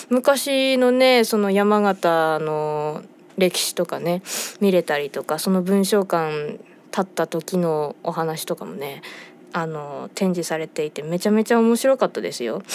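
Relaxed in tone, a woman speaks at a fairly slow pace with lively intonation and a fairly low pitch. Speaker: band vocalist and radio host. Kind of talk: radio talk show monologue. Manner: relaxed, leisurely.

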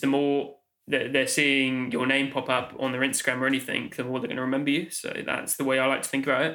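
A man's fairly high, bright, sharp voice in a southern English accent, at a very fast pace with hardly any pauses. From England, Oxfordshire. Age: 20s. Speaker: Steadicam operator. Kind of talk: casual interview. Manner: hesitant, many fillers.

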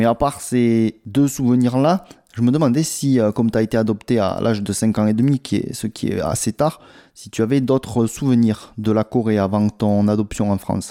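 The voice has a dark, mellow tone and ordinary pitch variation. The sound is dry and close, with no echo. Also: man, medium pitch for a man, moderate pace, very clean recording, silent background. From South Korea. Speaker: podcast host, travel agency. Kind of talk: interview.

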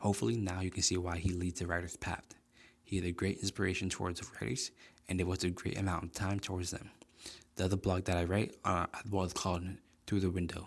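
Very deep and low in pitch, a man talks at a very fast pace with an American accent. His intonation stays fairly even. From US South, South Florida. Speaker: author. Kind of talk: casual chat; reading aloud.

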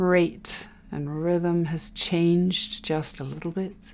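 A woman's gentle, calm tone, fairly low in pitch, with fairly even intonation. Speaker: meditation guide. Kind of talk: guided meditation. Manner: slow, calm, soothing, with long pauses between cues; gentle, soft-spoken, instructive.

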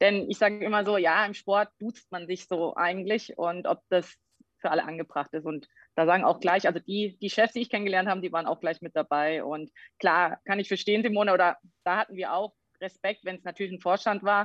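Using a plain, everyday voice, a woman talks fairly quickly in a medium register, her intonation staying fairly even. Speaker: sports scientist and fitness trainer. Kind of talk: casual interview. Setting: video call.

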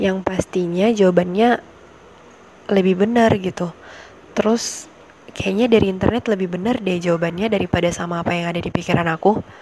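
A woman's medium-pitched voice, its intonation fairly even, comes through noticeable background noise. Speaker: university student devotional podcast host. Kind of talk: casual devotional talk.

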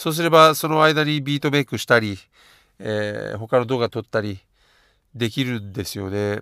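A man's bright, sharp voice at a moderate pace, with big swings in loudness, dry and close with no echo, on a very clean recording with a silent background. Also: medium pitch for a man, ordinary pitch variation. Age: 40s. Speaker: podcaster and beatmaker. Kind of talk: casual solo podcast monologue. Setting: at work during lunch break.

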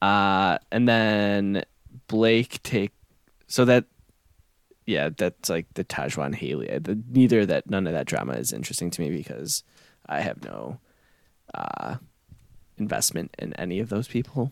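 Speaking fairly slowly with long, frequent pauses, a man uses a fairly low pitch, vocal fry and lively intonation in a dry, close sound with no echo. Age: 30s. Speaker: podcast co-host. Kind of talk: casual chat.

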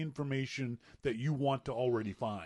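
A man speaks with a Maritime Canadian accent. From Nova Scotia, Canada. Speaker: podcast co-host. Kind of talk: casual chat.

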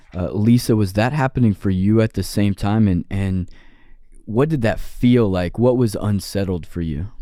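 Using a dark, mellow tone at fairly low pitch, a man speaks at a moderate pace with ordinary pitch variation. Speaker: podcast co-host and site director. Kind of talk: casual interview.

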